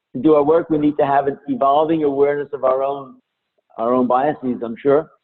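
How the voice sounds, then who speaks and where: Fairly high-pitched for a man, his American-accented speech moves at a fairly quick pace with fairly even intonation. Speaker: diversity and intercultural trainer. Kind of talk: webinar lecture. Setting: online webinar.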